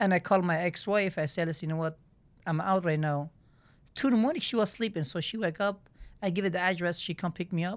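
A woman with a Turkish accent, fairly low pitch and ordinary pitch variation at a very fast pace on a very clean recording with a silent background. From southeastern Turkey. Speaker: pizzeria business owner. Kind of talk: casual interview, telling life story. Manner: halting, broken English.

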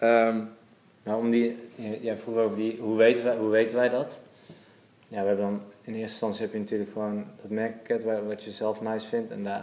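A man's medium-pitched voice, dark and mellow in tone, monotone and flat, at a moderate pace. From Netherlands, Waalwijk, Brabant. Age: 30s. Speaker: menswear shop owner. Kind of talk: casual interview. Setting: in a shop.

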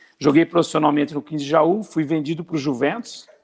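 An unremarkable speaking voice, a man talks at a fairly quick pace and a fairly high pitch, with a dry, close sound and no echo. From Brazil, interior of São Paulo state. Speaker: retired footballer. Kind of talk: interview.

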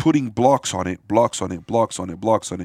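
A man with an American accent and an unremarkable speaking voice, medium in pitch, with lively intonation at a moderate pace, dry and close with no echo on a very clean recording with a silent background. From Miami, Florida. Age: 40s. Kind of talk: casual chat.

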